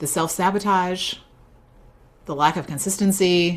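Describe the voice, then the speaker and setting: A woman speaks in an animated tone. Her pitch sits in the medium range. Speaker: business coach running a faith-based masterclass. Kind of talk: live online workshop teaching. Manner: fast.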